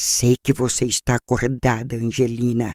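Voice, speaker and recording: A man's hoarse, put-on character voice at medium pitch, with monotone, flat intonation and moderate pace. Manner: menacing.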